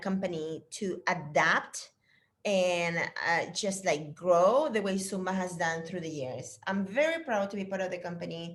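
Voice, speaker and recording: At a medium pitch, a woman speaks in a Spanish accent. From Chile. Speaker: fitness instructor trainer. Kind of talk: casual chat. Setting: video call. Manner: animated.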